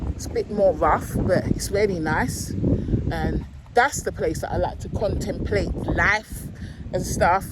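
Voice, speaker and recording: Noticeable background noise sits behind this woman's voice. She talks at a fairly slow pace. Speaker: vlogger. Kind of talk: casual vlog talk. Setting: outdoors on a beach.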